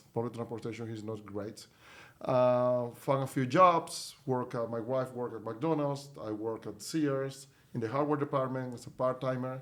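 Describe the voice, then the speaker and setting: With a Spanish accent, a man speaks at a moderate pace using fairly even intonation. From Venezuela. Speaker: company CEO. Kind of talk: podcast interview.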